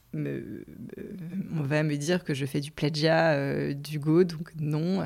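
Very deep and low, this woman's voice carries vocal fry and ordinary pitch variation. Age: 40s. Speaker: podcaster, former marketing director. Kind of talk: unscripted solo monologue. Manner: halting, many repetitions and fillers.

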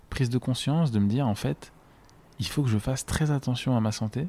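A man with a dark, mellow tone speaks at a fairly quick pace with ordinary pitch variation, in a very clean recording with a silent background. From French mountain region. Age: 20s. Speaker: freelancer with an eye disease. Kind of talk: personal testimony interview.

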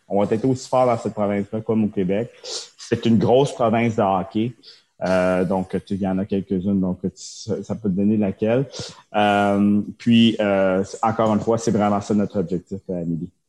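A man talks at a moderate pace in a fairly low pitch, with a dark, mellow tone and fairly even intonation. The sound is dry and close with no echo, over a quiet background. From Quebec. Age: 30s. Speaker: tech entrepreneur, former hockey goaltender. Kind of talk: interview. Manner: halting, many fillers and repetitions.

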